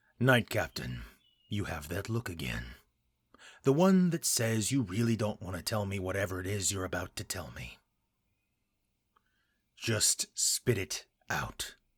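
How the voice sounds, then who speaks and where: Using a put-on character voice, a man speaks at a moderate pace with fairly low pitch, very wide pitch swings, and long, frequent pauses, in a dry, close, very clean recording with no echo and a silent background. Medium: read story. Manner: blunt, gruff.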